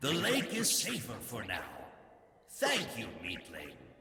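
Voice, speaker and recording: Using a put-on character voice, a man speaks at a fairly slow pace with a slight echo. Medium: video game. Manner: slow, detached.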